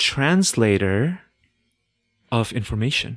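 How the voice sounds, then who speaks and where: Over music in the background, a man with a non-native accent speaks at a very slow pace in a medium pitch, the sound dry and close with no echo. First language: not English. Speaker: podcast host. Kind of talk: casual chat.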